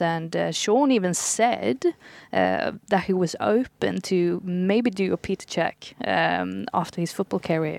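In a Swedish accent, the speaker talks at a fairly slow pace on a very clean recording with a silent background and a dry, close sound with no echo. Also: woman. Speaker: football journalist. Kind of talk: casual panel chat.

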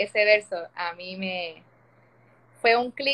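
A woman speaks with fairly even intonation. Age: 30s. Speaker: opera-trained singer. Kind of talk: testimony. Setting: Instagram live video call.

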